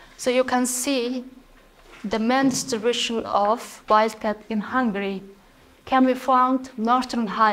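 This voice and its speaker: With a Mongolian accent, a woman speaks at a fairly high pitch and a fairly slow pace, her intonation fairly even. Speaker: PhD student researcher. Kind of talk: conference talk.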